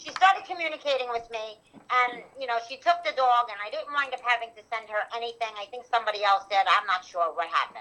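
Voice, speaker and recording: Against noticeable background noise, a woman with a New York accent talks at a very fast pace with hardly any pauses, her fairly high pitch carrying lively intonation and big swings in loudness. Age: 50s. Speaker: animal rescuer. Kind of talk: testimony. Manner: fast, rambling with restarts.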